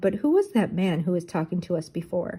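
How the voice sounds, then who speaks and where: A woman puts on a raspy character voice at a medium pitch. Her pace is fairly quick. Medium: read story.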